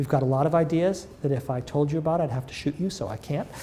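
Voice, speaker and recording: Somewhat breathy, a man speaks with fairly high pitch and ordinary pitch variation. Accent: American. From US Northeast (northern Massachusetts, near Lawrence). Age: 60s. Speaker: physician-scientist and pharma research executive. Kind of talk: interview. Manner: hesitant, many fillers.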